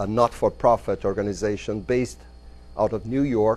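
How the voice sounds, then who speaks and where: At a moderate pace, a man talks with a Brazilian Portuguese accent. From Brazil, São Paulo. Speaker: business consultant and entrepreneur. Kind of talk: lecture. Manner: halting.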